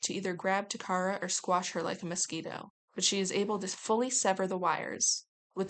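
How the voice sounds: Quiet surroundings frame a natural reading voice.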